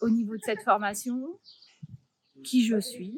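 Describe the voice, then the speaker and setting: Fairly high, somewhat breathy speech from a woman. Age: 50s. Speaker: trainer turned coach. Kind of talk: testimonial interview. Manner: hesitant, many fillers.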